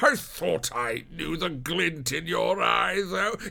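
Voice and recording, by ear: A man puts on a character voice with a bright, sharp tone, fairly high pitch and vocal fry. He speaks at a slow pace with lively intonation.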